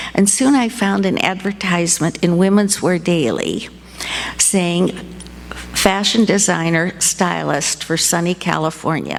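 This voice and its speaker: With noticeable background noise behind her, a woman with an American accent speaks at a fairly slow pace, her fairly low pitch showing ordinary variation and her loudness very even. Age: 80s+. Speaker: storyteller, retired fashion designer. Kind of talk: live storytelling. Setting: stage with audience.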